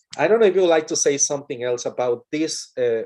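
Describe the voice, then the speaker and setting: Speaking with a Mexican accent, a man has a fairly high pitch and a dark, mellow tone. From Mexico. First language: Spanish. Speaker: English teacher. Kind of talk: webinar talk. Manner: halting, repetitive.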